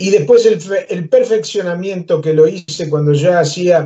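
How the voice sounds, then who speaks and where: Speaking with a Uruguayan accent, a man has a high pitch. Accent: Rioplatense Spanish (Uruguayan). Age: 70s. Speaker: musician and humorist. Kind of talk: interview, life story.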